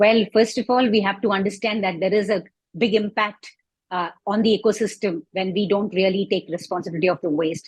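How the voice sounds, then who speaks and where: A woman's somewhat breathy, medium-pitched voice with fairly even intonation. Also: fairly quick pace. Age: 60s. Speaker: composting advocate. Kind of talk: interview.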